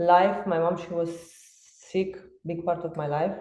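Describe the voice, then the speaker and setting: In a room with audible echo, a woman talks at a moderate pace with a dark, mellow tone and a fairly low pitch. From Romania. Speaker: fitness coach. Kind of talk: podcast interview.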